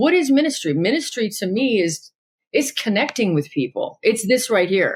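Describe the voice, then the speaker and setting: A woman with an American accent speaks at a moderate pace in an animated tone with very wide pitch swings, on a very clean recording with a silent background. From Los Angeles, US West Coast. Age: 40s. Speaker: interfaith minister. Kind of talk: casual interview.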